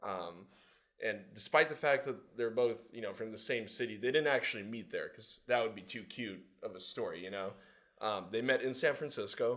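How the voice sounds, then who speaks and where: With a Californian accent, the speaker goes at a moderate pace, with big swings in loudness and ordinary pitch variation. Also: man, medium pitch for a man. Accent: Californian American. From Southern California. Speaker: social media manager. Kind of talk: casual interview chat.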